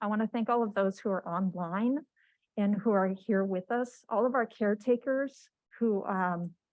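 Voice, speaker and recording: A soft-spoken woman with an American accent, fairly high-pitched, at a moderate pace with ordinary pitch variation. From Washington state, US. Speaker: cancer patient sharing her story. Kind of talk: testimony. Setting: stage with audience, microphone.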